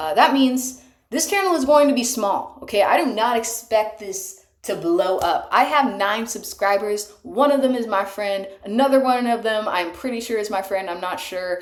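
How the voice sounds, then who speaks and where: With hardly any pauses, a woman talks at a moderate pace and a fairly high pitch with ordinary pitch variation, and audible room echo is present. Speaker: amateur singer. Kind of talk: casual monologue. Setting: bathtub. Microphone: cheap microphone.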